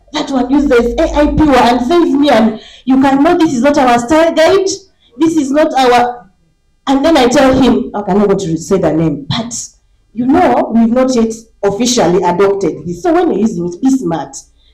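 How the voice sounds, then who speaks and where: Heard with audible room echo, a woman with a high pitch talks at a moderate pace, her pitch swinging very widely. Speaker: media editor, panelist. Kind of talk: panel discussion.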